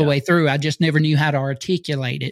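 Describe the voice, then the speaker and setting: A man has a plain, everyday voice, fairly high in pitch with fairly even intonation. The sound is dry and close, with no echo. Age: 40s. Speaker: pastor and podcast host. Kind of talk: interview.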